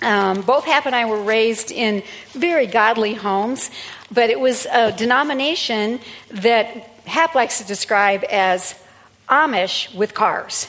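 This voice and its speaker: Amid noticeable background noise, a woman speaks fairly slowly at a fairly high pitch, with ordinary pitch variation. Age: 60s. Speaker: pastor. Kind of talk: sermon. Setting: church. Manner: animated.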